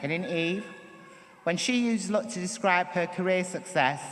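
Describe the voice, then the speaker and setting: Someone with a Manchester accent speaks over noticeable background noise. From northern England, Manchester. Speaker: performance poet. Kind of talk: acceptance speech. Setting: stage with audience. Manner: reading from notes.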